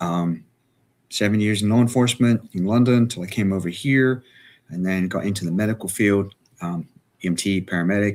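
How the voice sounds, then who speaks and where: Heard on a very clean recording with a silent background, a man talks at a moderate pace with ordinary pitch variation. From England. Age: 60s. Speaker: emergency management expert and author. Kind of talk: live show interview. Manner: hesitant, many fillers.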